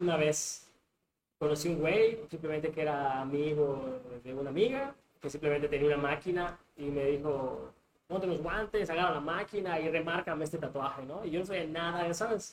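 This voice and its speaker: This man's pitch sits fairly high and shifts in an ordinary way. He talks at a moderate pace. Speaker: tattoo artist. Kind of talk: casual chat.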